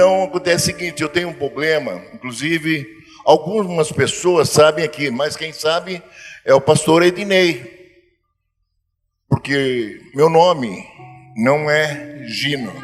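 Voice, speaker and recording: Pausing long and often, a man speaks very slowly at a fairly high pitch. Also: ordinary pitch variation. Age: 70s. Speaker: church member giving testimony. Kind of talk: testimony. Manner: halting.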